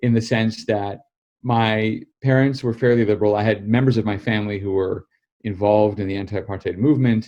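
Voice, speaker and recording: A dark, mellow tone with an American accent, fairly even intonation and a fairly quick pace over a quiet background. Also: man, fairly low pitch for a man. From United States. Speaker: political journalist and author. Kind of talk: interview.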